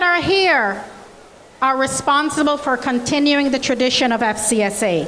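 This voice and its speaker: A woman with a Jamaican accent, high-pitched, fairly slow and lively in intonation, with noticeable background noise and audible room echo. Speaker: college president. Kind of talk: welcome speech. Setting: stage with audience. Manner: animated.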